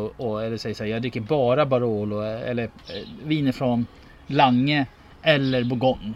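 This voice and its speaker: With fairly even intonation, a man speaks in a plain, everyday voice. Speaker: podcast host, wine taster. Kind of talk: casual chat.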